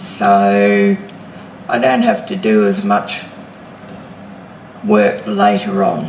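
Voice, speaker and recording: Background noise is noticeable, and the room echo is audible. Over it, a woman talks very slowly. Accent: Australian. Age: 60s. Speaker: homesteading vlogger. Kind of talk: casual vlog talk to camera. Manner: hesitant with fillers.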